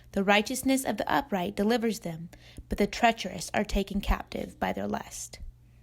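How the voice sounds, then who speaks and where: On a very clean recording with a silent background, a woman speaks at medium pitch and a moderate pace with vocal fry and ordinary pitch variation. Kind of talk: scripture reading.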